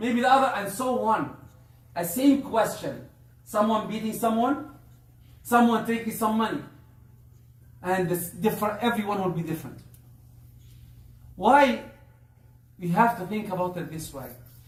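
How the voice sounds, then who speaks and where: A high-pitched man at a moderate pace, with ordinary pitch variation, long, frequent pauses, and audible room echo. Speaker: Islamic preacher. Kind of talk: religious talk. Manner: halting.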